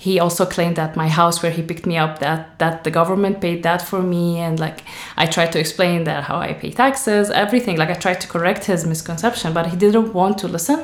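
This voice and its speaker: A woman talks at a fairly quick pace with hardly any pauses, her pitch fairly low and its variation ordinary. There is audible room echo. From Syria, Damascus. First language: Arabic. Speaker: author. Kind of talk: interview.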